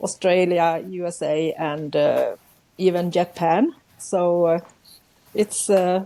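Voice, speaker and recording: In a Swedish accent, a woman with a fairly low pitch speaks very slowly, with long, frequent pauses and fairly even intonation. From central Sweden. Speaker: journaling artist, YouTuber. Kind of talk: casual interview. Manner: halting, searching for words.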